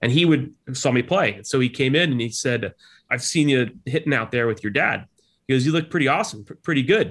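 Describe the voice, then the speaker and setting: An ordinary speaking voice from a man with an American accent, medium in pitch, with lively intonation at a fairly quick pace. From New Jersey Shore, US. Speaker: leadership professor, former army officer. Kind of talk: interview conversation.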